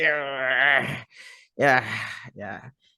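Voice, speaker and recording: The tone is bright and sharp. The intonation stays fairly even. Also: man, quiet background. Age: 30s. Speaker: podcast host. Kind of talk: casual vlog monologue.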